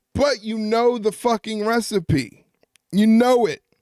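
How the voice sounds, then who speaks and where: In an American accent, a man speaks at a high pitch with a dry, close sound and no echo. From New York. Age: 30s. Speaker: wrestling live-stream host. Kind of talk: live stream chat reacting to chat. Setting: live stream. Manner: casual, conversational.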